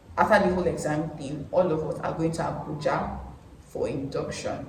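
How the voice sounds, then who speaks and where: Speaking at a moderate pace with a Nigerian accent, a woman has a very deep, low pitch. Noticeable background noise and audible room echo fill the recording. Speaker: vlogger, medical lab science graduate. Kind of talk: casual vlog monologue.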